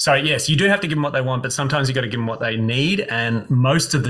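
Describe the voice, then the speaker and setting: A man talks very fast with an Australian accent and lively intonation. Noticeable background noise runs under his voice. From Brisbane, Queensland, Australia. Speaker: speech and performance coach. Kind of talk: interview.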